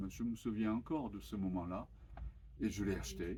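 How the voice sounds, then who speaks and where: A man's tone comes through dark and mellow. His pitch sits fairly low. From Japan. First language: Japanese (speaking French). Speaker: author. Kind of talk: interview. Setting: bookshop event with audience. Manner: halting, many hesitations.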